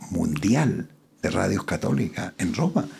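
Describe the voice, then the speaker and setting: Somewhat breathy and dark, mellow in tone, a man speaks at a fairly slow pace in a fairly low pitch with lively intonation. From Chile, Curicó. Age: 80s+. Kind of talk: interview conversation.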